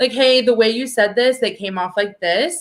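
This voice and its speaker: Loud and animated, a woman speaks at a fairly quick pace with a high pitch and a bright, sharp tone. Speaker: political activist. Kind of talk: casual chat.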